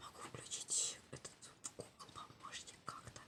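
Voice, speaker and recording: Whispering from a woman amid noticeable background noise. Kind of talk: ASMR casual talk to camera. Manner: whispered.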